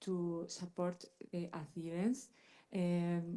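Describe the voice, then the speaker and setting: A woman's fairly low, dark and mellow voice with a Spanish accent. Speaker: pharmacist. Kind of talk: panel discussion.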